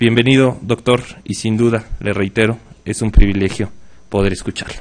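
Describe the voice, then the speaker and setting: Here a man speaks at a moderate pace. His pitch is medium and his intonation fairly even. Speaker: magistrate introducing a speaker. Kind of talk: formal speaker introduction. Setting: conference hall with audience. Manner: hesitant, many filler sounds.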